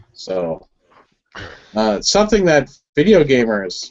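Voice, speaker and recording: This is a man speaking. He talks with a Wisconsin accent. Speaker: firearms enthusiast host. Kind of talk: casual group video chat.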